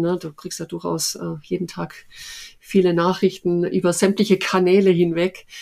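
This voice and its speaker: A woman speaks with a slight Swabian accent in a fairly low pitch, her intonation monotone and flat. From Oberschwaben, southern Germany. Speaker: head of recruiting at a large company. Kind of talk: interview. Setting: home office. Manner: many fillers, hesitant.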